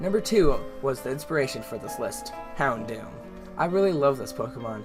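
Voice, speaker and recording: Over music in the background, a man talks at a fairly quick pace with big swings in loudness. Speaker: video game commentator. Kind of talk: casual talk to camera.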